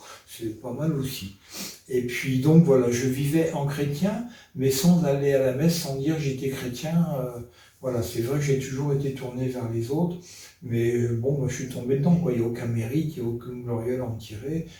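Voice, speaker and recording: A man talks with ordinary pitch variation. Noticeable background noise and audible room echo are present. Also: medium pitch for a man, moderate pace. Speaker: retired firefighter giving faith testimony. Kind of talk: testimony. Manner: hesitant, many fillers.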